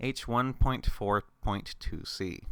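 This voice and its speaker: A man speaks at medium pitch with a bright, sharp tone and vocal fry. His pitch swings very widely. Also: very clean recording, silent background. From Canada. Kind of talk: ASMR rules reading. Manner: calm, steady.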